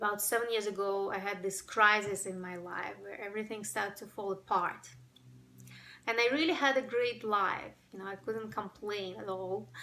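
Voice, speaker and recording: A woman with a Ukrainian accent talks at a moderate pace in a medium pitch. Her intonation is fairly even, though her loudness swings widely. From Ukraine. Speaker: breathwork workshop facilitator. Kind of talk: personal testimony to camera.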